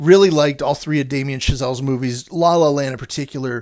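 With a normal speaking voice, a man talks at a fairly quick pace and a fairly high pitch. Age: 50s. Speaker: film podcaster and critic. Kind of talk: casual monologue. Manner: rambling, frequent fillers.

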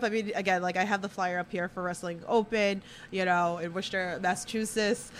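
At a fairly quick pace, a woman speaks in a strong New York accent. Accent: thick Queens, New York. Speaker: podcast host. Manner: casual, chatty, uses many filler words.

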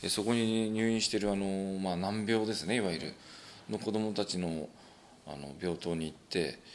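A man speaks at a moderate pace with fairly low pitch and ordinary pitch variation. His is an unremarkable speaking voice. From Japan, Ibaraki (Tsuchiura). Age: 40s. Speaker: professional wrestler and dentist. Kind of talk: casual interview chat.

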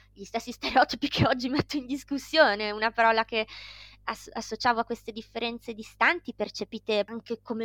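With an ordinary speaking voice, a woman talks at a fairly quick pace and a fairly high pitch, the sound dry and close with no echo. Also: very clean recording, silent background. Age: 30s. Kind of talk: interview.

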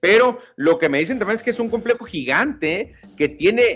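Animated in tone, a man talks at a moderate pace with very wide pitch swings. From Mexico. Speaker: sports radio host. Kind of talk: casual sports talk show.

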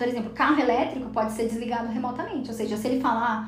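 A woman speaks very fast in a high voice, with audible room echo and noticeable background noise. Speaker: podcast host. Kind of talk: casual chat.

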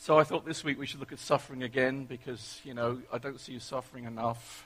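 In an English accent, a man talks at a fairly quick pace and a medium pitch with monotone, flat intonation. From England. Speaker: preacher. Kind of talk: sermon. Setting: church.

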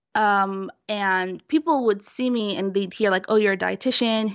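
Ordinary pitch variation in a plain, everyday voice with an American accent. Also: woman. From Brooklyn, New York. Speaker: dietitian. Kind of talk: casual interview.

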